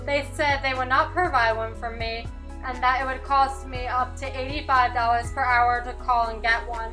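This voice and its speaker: A woman's high-pitched, raised and projected voice at a moderate pace, with ordinary pitch variation and music in the background. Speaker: deaf student narrator. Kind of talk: personal digital story narration.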